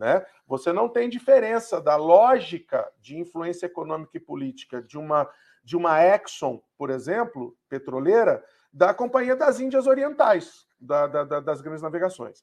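Using a high pitch, a man talks at a moderate pace with very wide pitch swings and big swings in loudness. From Rio de Janeiro.

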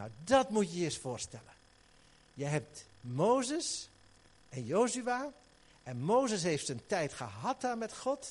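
Pitched high for a man, this very slow male voice swings very widely in pitch and leaves long, frequent pauses. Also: big swings in loudness. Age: 60s. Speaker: pastor. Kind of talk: sermon. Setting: church. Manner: animated.

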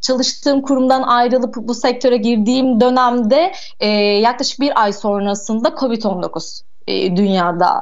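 Against noticeable background noise, a woman speaks at a fairly high pitch and a fairly slow pace. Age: 20s. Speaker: boutique hotel operator. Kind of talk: radio interview.

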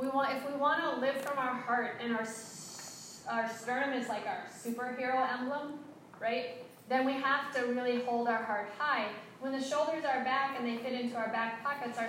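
A woman talks at a moderate pace with a high pitch, with audible room echo and noticeable background noise. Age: 50s. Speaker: yoga teacher trainer. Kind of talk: workshop instruction. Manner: animated.

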